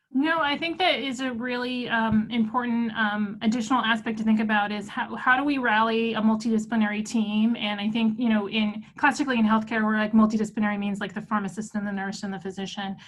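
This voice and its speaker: Speaking at a very fast pace with hardly any pauses, a woman keeps her intonation fairly even while audible room echo surrounds her. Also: fairly high pitch for a woman. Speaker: physician and cancer researcher. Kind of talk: webinar lecture and Q&A.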